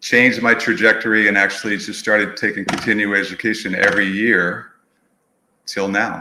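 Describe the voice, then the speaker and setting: Here a man speaks at a fairly quick pace. His pitch is fairly low, with audible room echo. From New England, outside Boston. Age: 60s. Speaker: movement professional, studio owner. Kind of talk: podcast interview.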